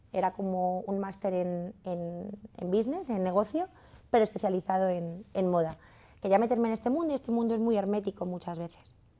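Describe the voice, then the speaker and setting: This woman talks at a fairly quick pace in a medium pitch. Her tone is dark and mellow, with ordinary pitch variation. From Madrid, Spain; Spain. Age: 30s. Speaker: fashion entrepreneur; masterclass teacher. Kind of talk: masterclass talk. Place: studio.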